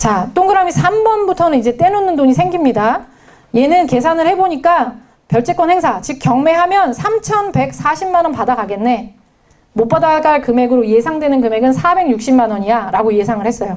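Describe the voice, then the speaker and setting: At a moderate pace, a woman speaks in a high voice marked by very wide pitch swings. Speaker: judicial scrivener lecturer. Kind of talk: lecture.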